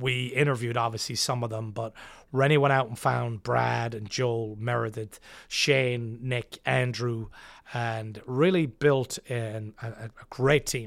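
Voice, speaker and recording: The speaker has an American accent and fairly even intonation, in a very clean recording with a silent background. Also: man, medium pitch for a man. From west of Ireland. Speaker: restaurant owner. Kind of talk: interview.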